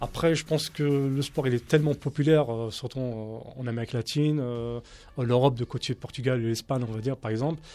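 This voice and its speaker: The man's tone is dark and mellow. He speaks at a fairly quick pace with fairly even intonation. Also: medium pitch for a man. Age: 30s. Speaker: street soccer national team coach. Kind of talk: radio debate.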